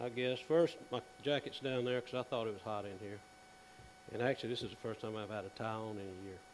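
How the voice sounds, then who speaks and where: This man talks fairly fast. He has a Southern US accent. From South Carolina. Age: 60s. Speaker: dentist. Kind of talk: conference presentation. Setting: stage with audience. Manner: casual.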